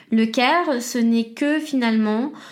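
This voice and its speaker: A woman speaks at a high pitch with ordinary pitch variation. There is audible room echo. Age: 20s. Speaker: podcast host. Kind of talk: solo educational monologue.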